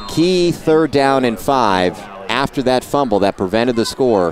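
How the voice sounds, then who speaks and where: An animated, playful tone in a dry sound with no echo, over light background noise. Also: man. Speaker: play-by-play sports commentator. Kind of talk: live high school football play-by-play, rapid-fire calling of a fourth-and-inches punt. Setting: broadcast booth at a stadium. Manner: excitable, exclaiming and self-correcting mid-play; animated and playful, teasing players and laughing.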